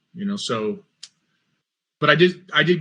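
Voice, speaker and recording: Bright and sharp in tone, a man's voice carries an American accent. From US Midwest, Mansfield, Ohio. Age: 40s. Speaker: religious podcast host and former Marine. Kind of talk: personal testimony monologue. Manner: halting, many fillers and repeats.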